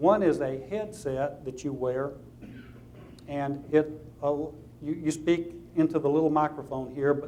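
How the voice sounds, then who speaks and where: A man's fairly high-pitched voice in a Southern US accent, dark and mellow in tone, with fairly even intonation and audible room echo. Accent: southern drawl. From US South. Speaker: lawyer. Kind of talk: lecture.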